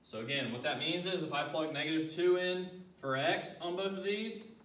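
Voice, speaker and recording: Lively in intonation, a man speaks at a moderate pace with audible room echo and noticeable background noise. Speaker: math teacher. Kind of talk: tutorial.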